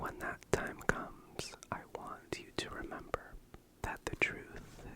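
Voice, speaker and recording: A man is whispering. Noticeable background noise can be heard. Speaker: ASMR creator. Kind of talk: ASMR book reading. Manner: whispered.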